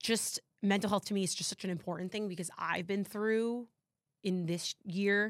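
In a very clean recording with a silent background, a woman with an American accent and medium pitch speaks at a moderate pace in an ordinary speaking voice. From New Jersey. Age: 30s. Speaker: podcast host. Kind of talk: casual chat. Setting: studio.

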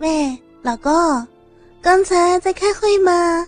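A woman puts on a character voice with an extremely high pitch, speaking at a very slow pace while faint music plays in the background.

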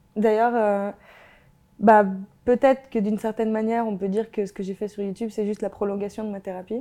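A woman speaks at a fairly quick pace with long, frequent pauses, her pitch fairly high. Her tone is dark and mellow, and her intonation stays flat and monotone. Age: 20s. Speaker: YouTuber and sociology graduate. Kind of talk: interview about mental health. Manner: casual, with many fillers.

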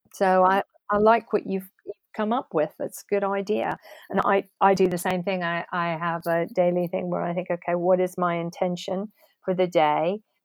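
A woman speaks at a medium pitch and a moderate pace. Her intonation is fairly even, and the sound is dry and close with no echo. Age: 50s. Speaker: podcast host. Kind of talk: interview.

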